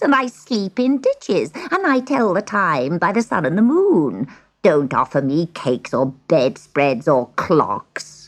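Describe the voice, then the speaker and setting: A put-on character voice, cackling and croaky, at a middle pitch and a fairly slow pace. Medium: read story. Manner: sly, scornful.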